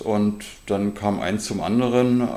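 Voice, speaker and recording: There is noticeable background noise. A man speaks with a fairly low pitch. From Germany, Berlin area. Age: 50s. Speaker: football youth coach and club vice-chair. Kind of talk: interview.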